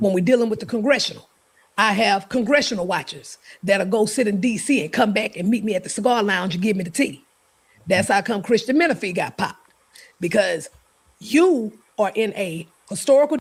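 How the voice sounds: Somewhat breathy and fairly high-pitched, a woman talks at a fairly quick pace with lively intonation.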